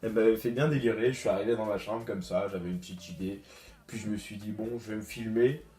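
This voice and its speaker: Over music in the background, a man with a fairly low pitch talks at a very fast pace with fairly even intonation. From Guadeloupe. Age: 20s. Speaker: student youtuber. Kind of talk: casual Q&A vlog. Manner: hesitant, many fillers.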